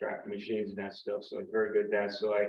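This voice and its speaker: With a Central Pennsylvania accent, a man speaks at a medium pitch. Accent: Pennsylvania (Central PA) English. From York County, Pennsylvania. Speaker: army veteran. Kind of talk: personal talk to audience.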